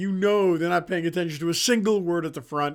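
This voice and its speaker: Loud speech at a very fast pace with fairly even intonation. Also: man. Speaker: chiropractor and podcast host. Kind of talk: casual monologue. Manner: loud and boisterous.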